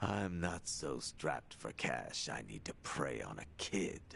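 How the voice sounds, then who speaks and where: Over clear background noise, a man uses a put-on character voice, very deep and low, at a fairly slow pace. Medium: video game. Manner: gruff, sardonic.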